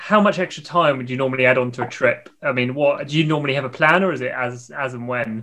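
With a British accent and a bright, sharp tone, a man talks at a very fast pace in a medium pitch, using ordinary pitch variation and hardly any pauses. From Britain. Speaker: podcast co-host and fencer. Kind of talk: casual interview chat.

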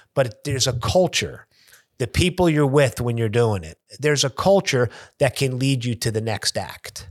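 Over a silent background in a very clean recording, a man of medium pitch speaks at a moderate pace with lively intonation. The sound is dry and close, with no echo. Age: 50s. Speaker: sports agent. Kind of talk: casual chat.

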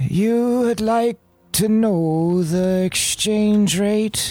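A put-on character voice, fairly high in pitch, moves at a very slow pace while faint music plays in the background.

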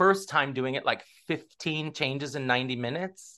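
Against a quiet background, a man with an American accent speaks with a bright, sharp tone, a fairly high pitch and ordinary pitch variation. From US West Coast (Southern California). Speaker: stage actor. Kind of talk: casual interview.

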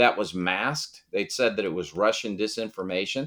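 An ordinary speaking voice from a man, fairly low in pitch, at a moderate pace against a quiet background. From Massachusetts. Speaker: constitutional lawyer and Senate candidate. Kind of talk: interview.

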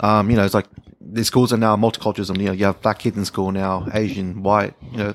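A man's fairly low voice with an Australian accent, very fast, with fairly even intonation. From Melbourne, Australia. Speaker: IT worker. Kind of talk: casual chat.

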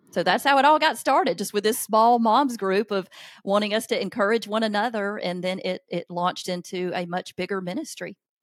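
With a Southern US accent, a woman speaks fairly quickly in a medium pitch and ordinary pitch variation. The recording is very clean, its background silent. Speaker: author and parenting speaker. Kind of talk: casual interview conversation.

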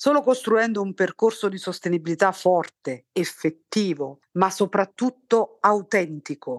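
In a dry, close recording with no echo and a quiet background, a woman talks in an unremarkable speaking voice at a moderate pace with ordinary pitch variation. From southern Italy, Naples area. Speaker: textile chemist and company founder. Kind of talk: scripted narration.

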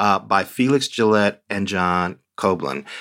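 A bright, sharp tone in a very clean recording with a silent background. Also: man. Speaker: TV critic. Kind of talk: casual chat.

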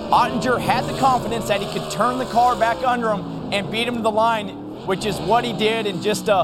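With music in the background, the speaker has an enthusiastic tone and a moderate pace. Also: man. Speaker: racing analyst. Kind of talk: live race commentary. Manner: enthusiastic, conversational.

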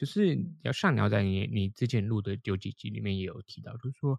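A man at a fairly quick pace with vocal fry, dry and close with no echo, on a very clean recording with a silent background. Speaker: English teacher and podcaster. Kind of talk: casual interview chat.

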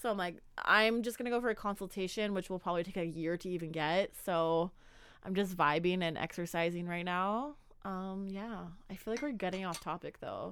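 A woman talks at a fairly quick pace in an animated tone, at medium pitch with ordinary pitch variation. The recording is very clean, with a silent background. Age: 20s. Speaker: podcast co-host. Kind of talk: casual chat.

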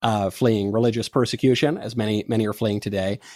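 In a very clean recording with a silent background and a dry, close sound without echo, a man with a fairly low pitch and fairly even intonation talks very fast. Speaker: political podcast host. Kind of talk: political commentary, casual. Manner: articulate, flowing.

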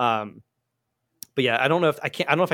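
A man with an American accent, dry and close with no echo, on a very clean recording with a silent background. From southern New Jersey. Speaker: concert videographer. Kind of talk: casual interview chat.

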